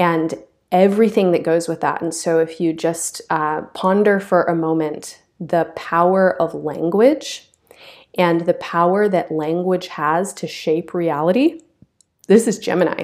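A woman speaks at a fairly slow pace. Her pitch is fairly low, with ordinary variation. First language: English (native), also speaks French. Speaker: astrologer and yoga teacher, podcast host. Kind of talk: solo astrology talk.

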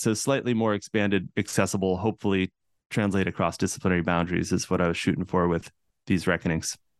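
A man with an American accent, fairly low-pitched, at a very fast pace, in a dry, close sound with no echo. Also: very even loudness. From central Massachusetts, US. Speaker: cultural anthropologist and author. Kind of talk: interview.

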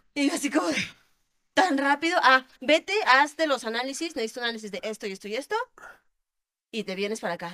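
A woman's raised, projected voice, high in pitch with a bright, sharp tone, very wide pitch swings, a fairly quick pace and long, frequent pauses. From Querétaro, Mexico. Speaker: adult film actress. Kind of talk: interview.

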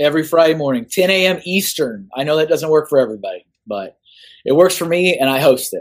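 Talking at a very fast pace with an American accent, a man uses a fairly high pitch and ordinary pitch variation. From Austin, Texas. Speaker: artist. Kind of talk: casual chat.

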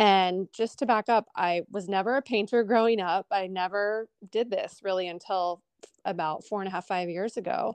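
A woman's unremarkable speaking voice with an American accent, medium pitch and ordinary pitch variation, in a dry, close sound with no echo. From Columbus, Ohio. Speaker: abstract artist. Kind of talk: interview.

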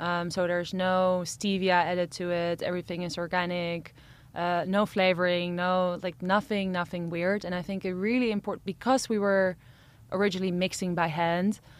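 A woman speaks at a medium pitch with fairly even intonation in a plain, everyday voice, on a very clean recording with a silent background. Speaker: entrepreneur. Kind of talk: interview. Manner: fast talker.

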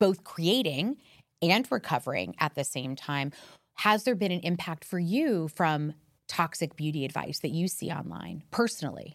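Recorded very cleanly against a silent background, a woman with an American accent and a normal speaking voice speaks in a fairly low pitch at a moderate pace. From US, Miami. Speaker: podcast host. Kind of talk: interview.

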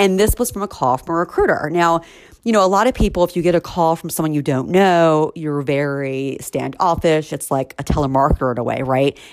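The woman's voice is very deep and low, moving at a fairly quick pace with ordinary pitch variation on a very clean recording with a silent background. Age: 40s. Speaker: recruiter and podcast host. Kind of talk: solo podcast monologue. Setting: home. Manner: fast.

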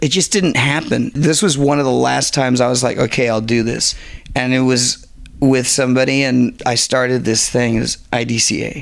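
This man speaks at a moderate pace with a medium pitch, ordinary pitch variation, and very even loudness. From Southern California (Garden Grove). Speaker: artist launching a skate brand. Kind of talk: casual chat. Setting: outdoors in a backyard.

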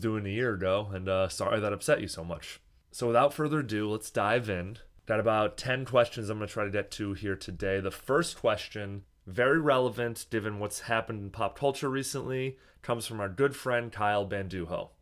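The speaker is a man with a fairly low pitch. He moves at a fairly quick pace with ordinary pitch variation. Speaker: podcast host. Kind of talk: casual solo podcast answering listener voicemails. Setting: hotel room, small microphone, echoey.

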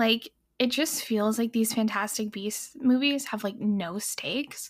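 A somewhat breathy woman speaks at a fairly slow pace. Her pitch is fairly high with ordinary variation. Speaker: film podcast panelist. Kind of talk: casual chat.

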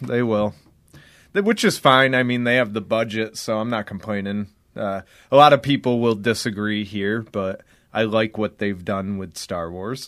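This is a normal speaking voice, a man at fairly low pitch with ordinary pitch variation. He talks at a moderate pace on a very clean recording with a silent background. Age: 20s. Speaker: wrestler. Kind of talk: casual chat.

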